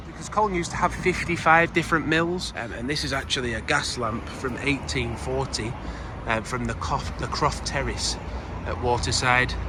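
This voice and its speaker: Against noticeable background noise, a man speaks in a relaxed tone at a moderate pace. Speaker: travel vlogger. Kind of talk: casual talk to camera. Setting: outdoors. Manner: relaxed, hesitant with fillers.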